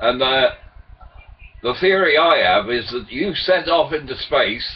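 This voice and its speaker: Over noticeable background noise, a man speaks fairly slowly with lively intonation. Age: 70s. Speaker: retired former merchant seaman sharing theories. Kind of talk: casual webcam monologue. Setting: webcam recording. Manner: halting, with repetitions and fillers.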